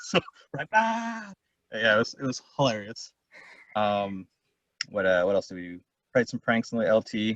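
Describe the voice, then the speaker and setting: The speech is mumbled, with big swings in loudness and long, frequent pauses, in a dry, close sound with no echo. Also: man. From California. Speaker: war veteran. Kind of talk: interview testimony. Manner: fast; mumbling.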